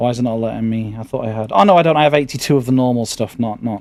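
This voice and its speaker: Music plays behind a man with a British accent. His medium-pitched voice has lively intonation. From Britain. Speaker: gaming streamer. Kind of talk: casual gameplay commentary. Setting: live stream. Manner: halting, stammering.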